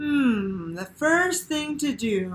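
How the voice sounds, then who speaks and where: Putting on a character voice, a woman speaks at a high pitch with very wide swings. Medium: read story. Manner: gentle, earnest.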